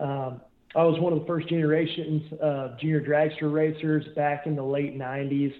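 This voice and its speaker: A man with an American accent speaks at a moderate pace. His pitch is fairly high and his intonation monotone and flat. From rural Illinois. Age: 30s. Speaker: drag racer and YouTube show host. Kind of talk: interview.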